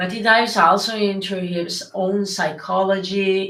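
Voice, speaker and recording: The speaker talks very slowly with a strong northern Italian accent. Intonation is fairly even, and audible room echo surrounds the voice. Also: woman. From northern Italy. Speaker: occult content creator. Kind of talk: livestream Q&A. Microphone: echo in the room.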